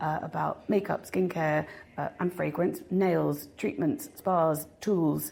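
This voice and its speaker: A woman with a British accent speaks in a dark, mellow tone. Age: 40s. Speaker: fragrance content creator. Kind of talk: interview. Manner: casual, chatty.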